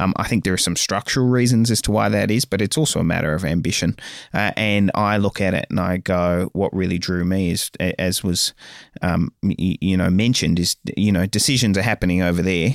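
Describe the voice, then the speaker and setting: The speaker has an Australian accent and a fairly quick pace, with ordinary pitch variation and very even loudness. The recording is very clean with a silent background, and the sound is dry and close with no echo. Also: man, very deep, low pitch for a man. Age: 30s. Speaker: mayor. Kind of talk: interview. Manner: halting, frequent filler words and repeats.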